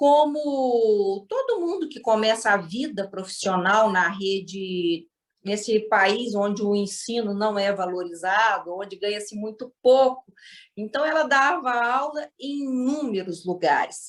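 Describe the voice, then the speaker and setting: With a Minas Gerais accent, a woman speaks at a fairly slow pace, her fairly high pitch carrying lively intonation. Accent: Minas Gerais (mineiro). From Minas Gerais, Brazil. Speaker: storyteller guest. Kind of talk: storytelling.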